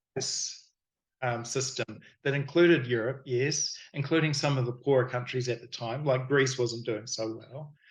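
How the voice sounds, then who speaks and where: With a New Zealand accent, a man of medium pitch speaks at a moderate pace in a somewhat breathy voice with fairly even intonation. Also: big swings in loudness. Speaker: miniature sculptor and game designer. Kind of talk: casual interview chat. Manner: halting, with many fillers.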